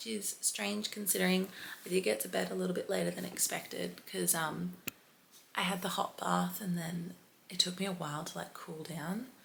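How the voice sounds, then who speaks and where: A woman speaks softly. Her pace is moderate. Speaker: fitness vlogger. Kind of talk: casual vlog talk to camera. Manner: soft-spoken, quiet early-morning talk; speeding up from caffeine.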